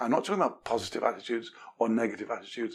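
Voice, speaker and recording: A man speaks with an English accent. He talks at a very fast pace. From England. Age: 70s. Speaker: communication expert, author. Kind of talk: podcast interview. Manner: animated.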